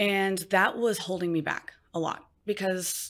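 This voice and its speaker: An ordinary speaking voice from a woman at medium pitch, with ordinary pitch variation, on a very clean recording with a silent background. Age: 30s. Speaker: med spa owner. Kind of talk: interview.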